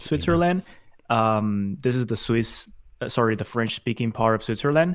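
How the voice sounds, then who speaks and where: Here a man with a Spanish accent speaks at a moderate pace and medium pitch. His intonation is lively, and the recording is very clean with a silent background. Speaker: design agency consultant. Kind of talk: interview.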